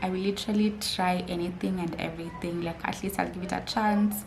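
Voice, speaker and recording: With audible room echo, a woman talks in a monotone, flat intonation. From Kenya, Mombasa. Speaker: YouTuber. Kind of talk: casual vlog talk. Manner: chatty, many fillers.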